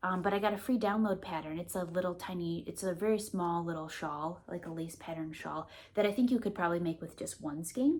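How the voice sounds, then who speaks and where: A woman with a Midwestern accent, fairly low pitch, ordinary pitch variation and a fairly quick pace with hardly any pauses. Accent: Midwest. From US Midwest, Milwaukee. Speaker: knitting vlogger. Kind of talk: casual vlog chat.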